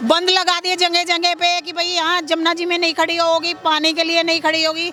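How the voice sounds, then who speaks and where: A woman uses a raised, projected voice at an extremely high pitch, with noticeable background noise behind her. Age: 60s. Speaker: vox pop interviewee. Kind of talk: street interview.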